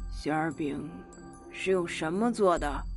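Over clear background music, a put-on character voice at middle pitch speaks fairly slowly. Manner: gloomy, stern.

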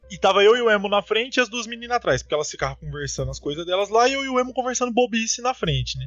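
Music plays behind a man who talks at a very fast pace with hardly any pauses. His tone is animated, his pitch high, with ordinary pitch variation. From Paraná interior, Brazil. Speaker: podcast host. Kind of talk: casual chat.

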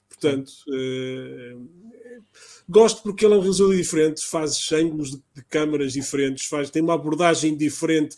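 A man with a plain, everyday voice speaks at a moderate pace and fairly high pitch, with ordinary pitch variation and big swings in loudness. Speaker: pop culture podcast host. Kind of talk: casual chat.

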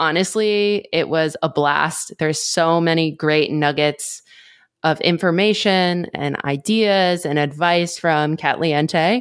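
A woman talks in an ordinary speaking voice at a fairly low pitch and fairly slow pace. Her intonation is fairly even, on a very clean recording with a silent background. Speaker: podcast co-host. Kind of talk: interview.

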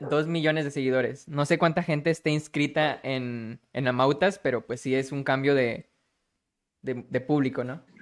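A man's voice sits fairly high, moving at a moderate pace while his intonation stays fairly even. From Monterrey, Nuevo León, Mexico. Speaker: podcast host. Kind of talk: interview hosting. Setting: live-streamed online call.

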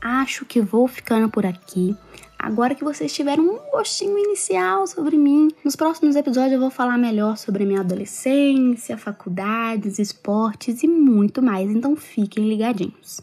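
Amid noticeable background noise, a woman speaks at a moderate pace with hardly any pauses, her high pitch making very wide swings. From Minas Gerais, Brazil (Capelinha, north of state). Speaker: podcaster. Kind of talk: casual monologue.

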